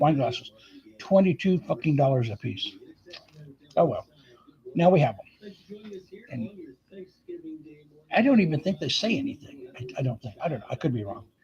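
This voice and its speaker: A man with a fairly high, dark, mellow voice speaks at a moderate pace, somewhat breathy, with lively intonation. His loudness swings widely, and he takes long, frequent pauses. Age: 70s. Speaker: vlogger. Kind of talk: casual chat. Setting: live stream. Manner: halting.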